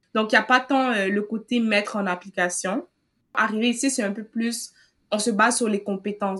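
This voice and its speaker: A woman with an ordinary speaking voice talks at a fairly slow pace, her fairly high pitch following fairly even intonation. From Cameroon. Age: 20s. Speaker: university student. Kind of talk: interview.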